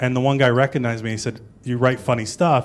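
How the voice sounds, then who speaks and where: A man with a Canadian accent speaks at a very fast pace. His intonation stays fairly even. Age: 40s. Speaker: stand-up comedian. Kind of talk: interview. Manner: low energy.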